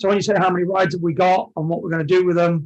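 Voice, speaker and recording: Speaking with an English accent, a man holds a high pitch in fairly even intonation. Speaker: amusement ride operator. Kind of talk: podcast interview.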